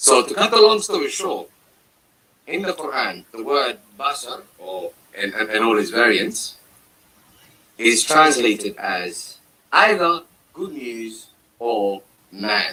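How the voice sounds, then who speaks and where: A man with a Somali accent speaks at a very slow pace, with long, frequent pauses and big swings in loudness. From Somalia. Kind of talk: religious discussion. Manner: halting.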